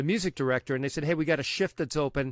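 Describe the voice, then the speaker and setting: A man speaks with fairly high pitch and ordinary pitch variation. The recording is very clean and dry, close with no echo, over a silent background. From Long Island, New York. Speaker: radio DJ and program director. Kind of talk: interview.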